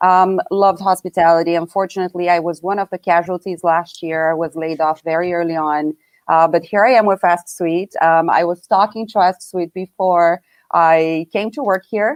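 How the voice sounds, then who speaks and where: A woman with a slight Brazilian accent speaks at a fairly low pitch and a moderate pace. Her intonation is fairly even, and the sound is dry and close with no echo. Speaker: hotel tech company staff, panelist. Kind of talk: live webinar panel chat.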